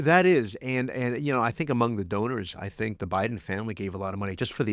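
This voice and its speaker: With ordinary pitch variation, this man speaks at a fairly quick pace. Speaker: podcast co-host, journalist. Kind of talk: podcast conversation.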